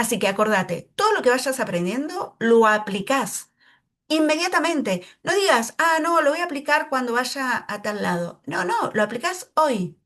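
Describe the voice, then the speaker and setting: With an Argentine accent, a woman speaks in a high voice whose pitch swings very widely. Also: fairly slow pace. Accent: Argentine, drops S sounds. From Argentina, Neuquén. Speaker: English teacher. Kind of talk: tutorial.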